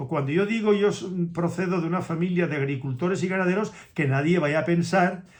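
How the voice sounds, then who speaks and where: Audible room echo frames a man's high-pitched voice. He talks at a fairly quick pace with ordinary pitch variation. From Spain. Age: 70s. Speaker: dog breeder. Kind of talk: casual monologue to camera. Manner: halting.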